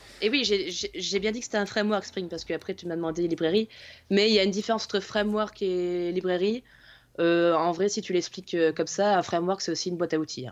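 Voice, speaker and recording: An ordinary speaking voice from a woman at a medium pitch, with ordinary pitch variation and a fairly quick pace over a quiet background. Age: 20s. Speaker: IT consultant. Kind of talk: casual chat.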